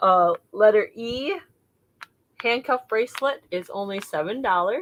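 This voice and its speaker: A woman speaks at a fairly slow pace with a fairly high pitch and lively intonation. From Wisconsin, US Midwest. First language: another language besides English. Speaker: online seller. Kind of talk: live sale recap. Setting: livestream video.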